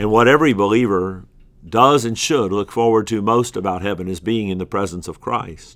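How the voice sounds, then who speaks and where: Fairly low in pitch, a man speaks at a moderate pace with ordinary pitch variation. The recording is very clean, with a silent background. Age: 50s. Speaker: pastor. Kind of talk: recorded bible teaching. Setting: office. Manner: hesitant with filler words.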